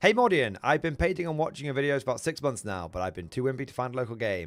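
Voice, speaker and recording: A man's lively intonation in a British accent, over music in the background. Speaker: tabletop wargaming streamer. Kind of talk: live stream chat.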